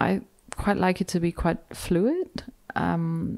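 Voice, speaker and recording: A woman speaks in a dark, mellow tone with ordinary pitch variation. The recording is very clean, the background silent. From Germany. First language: German. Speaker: novelist. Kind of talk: literary event conversation.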